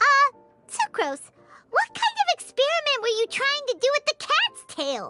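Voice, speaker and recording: A put-on character voice, squeaky and extremely high in pitch, at a moderate pace over faint background music. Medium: video game. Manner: blunt, exasperated.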